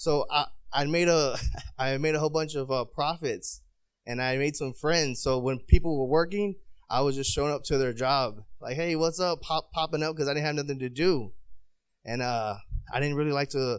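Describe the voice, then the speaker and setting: Speaking at a moderate pace with an American accent, this man has a fairly high pitch and ordinary pitch variation. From San Diego, California. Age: 30s. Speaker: army veteran and boxing coach. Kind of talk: panel speech. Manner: casual, hesitant.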